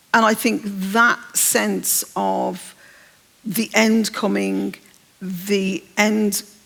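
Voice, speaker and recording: Noticeable background noise sits behind the woman as she talks. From English Midlands, Birmingham. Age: 60s. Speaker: novelist. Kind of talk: onstage literary interview. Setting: stage with audience.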